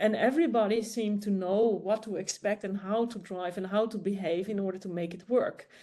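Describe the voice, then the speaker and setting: At a moderate pace, a woman with a fairly high pitch and a dark, mellow tone speaks against a quiet background. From Netherlands. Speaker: academic researcher. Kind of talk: panel discussion. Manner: halting.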